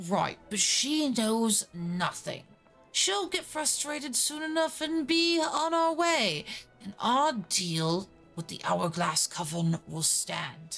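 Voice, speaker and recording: A female-sounding voice takes on a put-on character voice, gravelly and fairly high in pitch with very wide pitch swings. It moves at a very slow pace over faint music in the background. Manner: irritated, dismissive.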